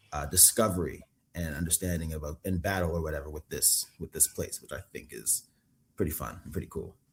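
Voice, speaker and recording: A man with a very deep, low voice and a creak of vocal fry. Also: ordinary pitch variation, fairly quick pace. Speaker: actor. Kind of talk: casual interview. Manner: halting, many fillers.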